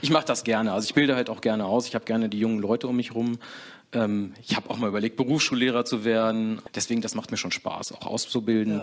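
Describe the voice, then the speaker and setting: Fairly even intonation and a medium pitch mark this man's voice. He speaks very fast. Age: 40s. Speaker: co-managing director of a trade business. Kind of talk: interview.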